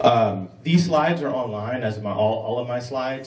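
A man is speaking. Audible room echo follows his voice. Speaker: conference presenter. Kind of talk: conference talk.

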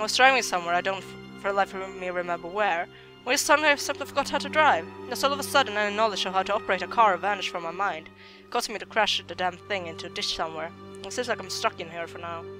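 Background music plays throughout. The delivery is very rapid. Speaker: let's player. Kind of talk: reading in-game notes aloud.

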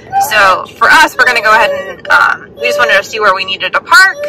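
A woman is speaking. The sound is dry with no echo, and background noise is noticeable. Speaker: travel vlogger parent. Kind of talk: casual vlog chat. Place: car. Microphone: phone near.

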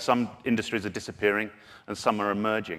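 Here a man is speaking. He goes at a very fast pace. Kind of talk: conference talk. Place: stage. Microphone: podium.

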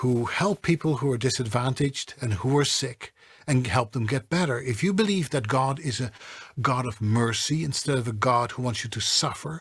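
The man's voice is somewhat breathy with lively intonation. He keeps a moderate pace. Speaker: voiceover artist and coach. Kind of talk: interview answer. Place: studio.

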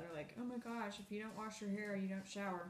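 A woman is speaking in a room with audible echo. There is light background noise. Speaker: beauty vlogger. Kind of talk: casual vlog chat. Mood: relaxed, chatty. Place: home room. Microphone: phone near.

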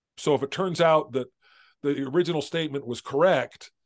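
A man with an American accent talks at a moderate pace with a fairly high pitch and ordinary pitch variation against a quiet background. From Southern California. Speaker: author; interview guest. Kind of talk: interview. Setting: video call. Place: home room.

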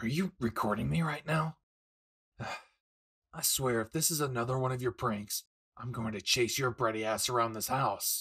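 A man puts on a raspy character voice at a medium pitch, with ordinary pitch variation and a moderate pace, recorded dry and close with no echo. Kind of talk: audio roleplay to the listener. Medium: solo performance. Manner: gruff, crude, teasing.

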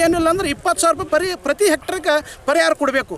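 With a north Karnataka accent and an extremely high pitch, a man talks in a dry, close sound with no echo over noticeable background noise. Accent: north Karnataka rural Kannada dialect. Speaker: farmer. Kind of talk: interview complaint to reporters. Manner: animated.

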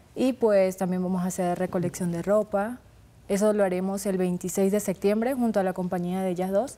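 A woman speaks at a moderate pace in a dark, mellow tone, her medium pitch held in fairly even intonation. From Colombia, Norte de Santander. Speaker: beauty pageant runner-up; guest. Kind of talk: TV interview. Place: studio.

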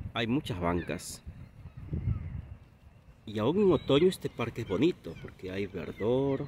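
A man's somewhat breathy voice at a fairly slow pace, with very wide pitch swings, long and frequent pauses, light background noise and a dry sound with no echo. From Peru. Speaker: Spanish teacher. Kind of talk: casual talk to camera. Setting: outdoors. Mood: calm, friendly. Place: waterside. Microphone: phone near.

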